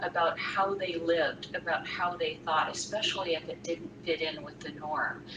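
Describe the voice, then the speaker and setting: An American-accented woman at a moderate pace, with noticeable background noise. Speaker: freelance writer and author. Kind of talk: live Q&A talk. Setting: live stream.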